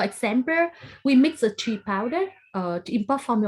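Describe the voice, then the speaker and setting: A woman's somewhat breathy voice moves with lively intonation. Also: very clean recording, silent background. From Vietnam. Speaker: dairy researcher. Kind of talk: formal meeting presentation. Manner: halting.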